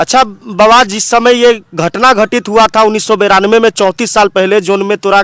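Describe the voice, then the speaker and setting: A man at high pitch with ordinary pitch variation, dry and close with no echo. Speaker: news reporter. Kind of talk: field news report to camera.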